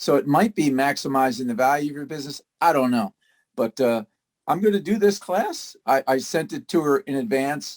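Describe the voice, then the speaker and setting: A man speaks in a normal speaking voice, fairly high in pitch, with lively intonation at a moderate pace. The sound is dry and close, with no echo. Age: 60s. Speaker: appliance service business owner. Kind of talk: casual presentation on a video call. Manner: conversational with many filler words.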